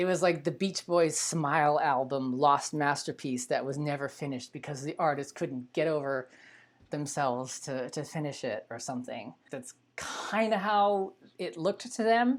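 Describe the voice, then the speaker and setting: A woman's very deep, low voice with an American accent and lively intonation, at a moderate pace. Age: 40s. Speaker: adult film performer and filmmaker. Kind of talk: casual live stream talk. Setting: live online stream.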